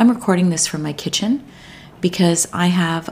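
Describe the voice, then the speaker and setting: A woman at a fairly low pitch, lively intonation and a moderate pace. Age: 50s. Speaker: health and lifestyle podcast host. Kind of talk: casual chat. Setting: home kitchen.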